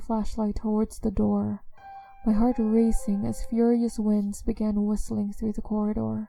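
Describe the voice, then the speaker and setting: Over music in the background, a woman with a fairly high pitch talks at a moderate pace in a monotone, flat intonation. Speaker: voice actor. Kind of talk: horror story narration.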